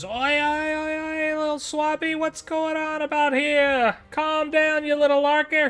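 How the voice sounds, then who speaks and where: Someone shouts in a put-on, high-pitched character voice at a fairly slow pace. The intonation stays monotone and flat, with faint music in the background. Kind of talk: cheeky, scolding. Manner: shouting.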